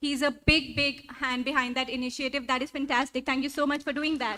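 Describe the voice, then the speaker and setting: A woman's raised, projected voice in a Punjabi accent, high-pitched and bright with a sharp tone, fairly quick with hardly any pauses. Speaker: event host. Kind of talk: stage introductions. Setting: stage with audience. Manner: animated.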